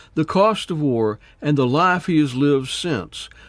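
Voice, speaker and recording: A normal speaking voice with lively intonation at a moderate pace, on a very clean recording with a silent background. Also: man. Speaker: podcast host. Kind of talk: podcast intro narration.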